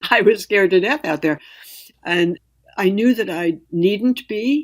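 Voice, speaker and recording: In a very clean recording with a silent background, a woman uses an ordinary speaking voice at medium pitch, talking at a fairly slow pace with lively intonation. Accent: American. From US Northeast, New York City. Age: 60s. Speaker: writer and climber. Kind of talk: interview.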